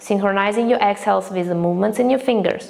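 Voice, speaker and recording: A woman's calm tone over noticeable background noise. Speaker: breathwork teacher. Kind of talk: guided breathing practice instruction. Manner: calm, instructive.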